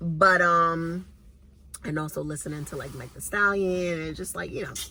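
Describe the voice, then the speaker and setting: In a Southern US accent, this speaker keeps a moderate pace and an animated tone. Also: woman. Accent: sounds Southern rather than New York. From Brooklyn, New York (Brownsville). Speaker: YouTuber. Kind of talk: casual chat.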